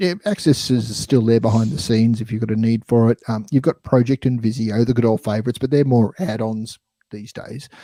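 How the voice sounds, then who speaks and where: A man with an Australian accent, medium-pitched, with a dark, mellow tone, ordinary pitch variation, a fairly quick pace with hardly any pauses, and a dry, close sound with no echo. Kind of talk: casual chat. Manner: hesitant, repeats words.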